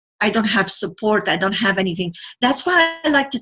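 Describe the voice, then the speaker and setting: Background music behind a speaking woman. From Lebanon. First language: not English (English is third language). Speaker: television producer and motivational speaker. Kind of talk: interview. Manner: halting.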